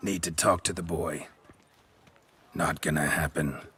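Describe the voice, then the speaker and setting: Very deep and low, a man's raspy voice is clearly a put-on character. His delivery moves at a moderate pace. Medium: video game. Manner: terse, dry.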